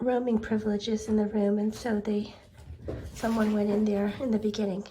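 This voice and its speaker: Noticeable background noise accompanies a woman whose pitch is fairly high. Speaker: pet video creator. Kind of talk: casual vlog narration.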